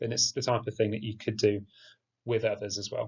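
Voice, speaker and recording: A man with an English accent speaks at a very fast pace. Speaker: geography teacher. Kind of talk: tutorial. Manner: monotone.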